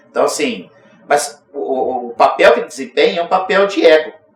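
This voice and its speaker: A man talking at a fairly quick pace. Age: 60s. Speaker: union president. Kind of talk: interview.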